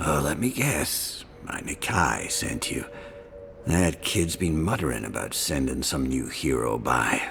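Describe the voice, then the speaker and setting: In a put-on character voice, a man speaks at a fairly slow pace with a very deep, low pitch over clear background noise. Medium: machinima. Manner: gruff.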